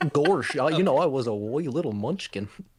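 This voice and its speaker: Drawling in a put-on character voice, a man with a fairly high pitch speaks at a moderate pace. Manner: goofy, drawling.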